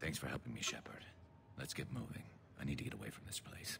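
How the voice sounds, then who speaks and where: Over clear background noise, a man whispers in a put-on character voice at a very fast pace. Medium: video game.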